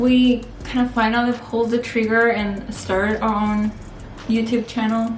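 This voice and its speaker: A fairly high-pitched woman speaks at a moderate pace in a flat monotone, her loudness very even. There is audible room echo and noticeable background noise. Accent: Spanish. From Spain (Castellón), born in Peru. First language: Spanish. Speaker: family vlogger. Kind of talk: casual chat.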